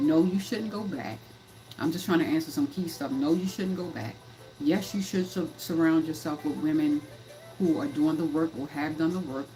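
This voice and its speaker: At a moderate pace and a fairly low pitch, a woman talks in an animated tone with ordinary pitch variation while music plays in the background. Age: 50s. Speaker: life coach and livestream host. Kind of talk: livestream talk. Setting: live stream. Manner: animated, repetitive.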